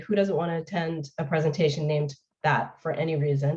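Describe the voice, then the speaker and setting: A woman speaks at a fairly quick pace. Her voice is somewhat breathy. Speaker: municipal funding expert. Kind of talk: webinar presentation. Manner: fast.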